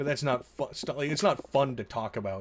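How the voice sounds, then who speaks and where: A man's somewhat breathy, fairly high-pitched voice at a fairly quick pace. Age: 20s. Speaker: video game streamer. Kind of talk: casual live stream commentary. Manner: rambling, self-interrupting.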